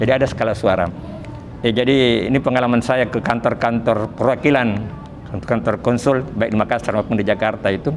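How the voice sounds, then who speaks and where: A man speaks at a fairly quick pace with very even loudness and fairly even intonation, his pitch medium. Noticeable background noise runs beneath the voice. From Selayar, South Sulawesi, Indonesia. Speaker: Islamic religious teacher. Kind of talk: Quran study lecture.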